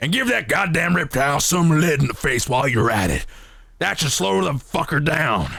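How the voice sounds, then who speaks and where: A man speaks in a put-on character voice, raspy and fairly high in pitch. His pace is moderate. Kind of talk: military radio talk; gruff, profane. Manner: tough, gritty, commanding.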